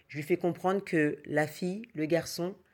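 Someone speaks at a moderate pace with fairly even intonation, on a very clean recording with a silent background. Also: woman. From French Antilles (Martinique and Guadeloupe). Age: 30s. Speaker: activist mother giving testimony. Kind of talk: recorded testimony.

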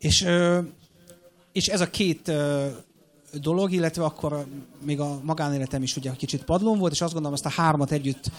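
Speaking at a very fast pace, a man with a fairly high pitch shows ordinary pitch variation. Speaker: airline captain. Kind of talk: interview. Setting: stage with audience.

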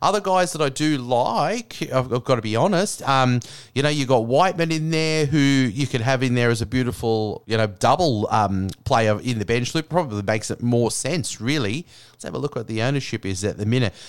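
On a very clean recording with a silent background, a man talks in an Australian accent at a medium pitch. He moves at a fairly quick pace with lively intonation. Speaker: fantasy sports podcaster. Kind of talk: casual solo monologue. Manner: casual, many filler words.

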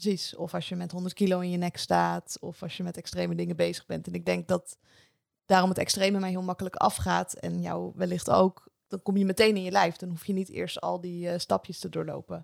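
At a fairly quick pace, a woman with a fairly low pitch and vocal fry speaks with little pitch movement in a dry, close sound with no echo.

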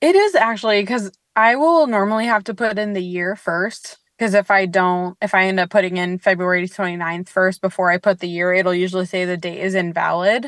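A plain, everyday voice from a woman at medium pitch, fairly quick with hardly any pauses, fairly even intonation, dry and close with no echo. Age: 30s. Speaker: leap day birthday interviewee. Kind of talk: casual interview.

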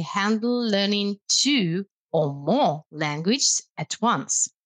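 A woman with a Russian accent swings her pitch very widely, in a very clean recording with a silent background and a dry, close sound with no echo. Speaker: language lecturer. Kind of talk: casual chat.

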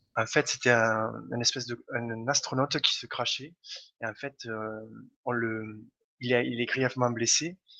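Bright and sharp in tone, the voice moves at a fairly slow pace with flat, monotone intonation and long, frequent pauses. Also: man, medium pitch for a man. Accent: slight Toulouse. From Toulouse, southern France. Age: 30s. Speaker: gamer and blogger. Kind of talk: casual chat.

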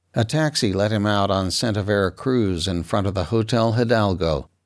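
Recorded very cleanly against a silent background, a man with a plain, everyday voice speaks at a fairly low pitch and a moderate pace. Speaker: audiobook narrator. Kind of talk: noir audiobook narration, read aloud in third person. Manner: clipped, matter-of-fact procedural detail.

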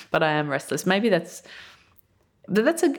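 A woman speaks with an Australian accent. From Australia, outback mining town. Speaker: journalist and writer, essay prize winner. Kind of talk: interview. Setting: on location in a college.

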